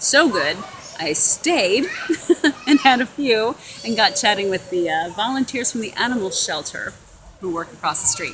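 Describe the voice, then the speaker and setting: A woman talks at a moderate pace with lively intonation against noticeable background noise. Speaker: honeymooning vlogger. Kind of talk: casual chat. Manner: halting.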